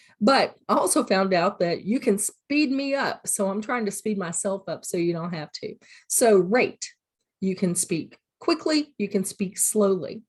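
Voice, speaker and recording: With lively intonation, a woman talks at a moderate pace in a somewhat breathy voice at medium pitch. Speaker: college teacher. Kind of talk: recorded lecture. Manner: casual, filler words.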